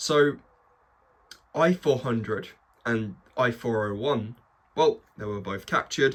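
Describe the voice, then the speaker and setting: A man's medium-pitched voice in an enthusiastic tone at a fairly slow pace, on a very clean recording with a silent background. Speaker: model kit reviewer. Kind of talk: product review. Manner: casual, enthusiastic.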